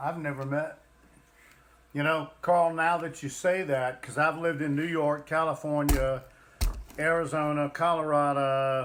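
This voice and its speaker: This man has a fairly high voice and a Southern US accent, talking at a fairly slow pace in a flat monotone. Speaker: livestream co-host, parent. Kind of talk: casual chat.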